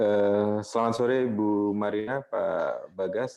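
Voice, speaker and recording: Over music in the background, a man with an Indonesian accent talks at a very slow pace in a medium pitch. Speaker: newspaper editor. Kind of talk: panel discussion. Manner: halting.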